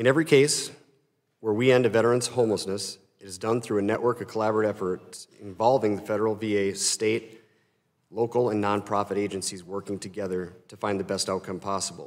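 Recorded very cleanly against a silent background, a man with an Upper Midwest accent speaks fairly quickly at a fairly low pitch. His intonation is fairly even, though his loudness swings widely. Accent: Upper Midwest (Minnesota). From rural Minnesota. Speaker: nonprofit executive and army veteran. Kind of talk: congressional testimony. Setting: congressional hearing room. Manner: formal.

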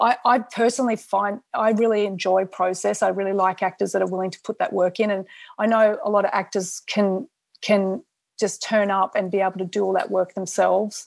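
With an Australian accent, a woman speaks at a fairly quick pace and a medium pitch in a monotone, flat intonation. The recording is very clean, with a silent background. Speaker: film director. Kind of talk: interview.

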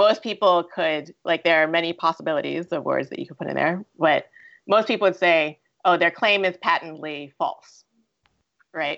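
At a moderate pace, a woman with fairly low pitch and ordinary pitch variation speaks with big swings in loudness. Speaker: art educator and English language teacher. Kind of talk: panel discussion. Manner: halting, many fillers.

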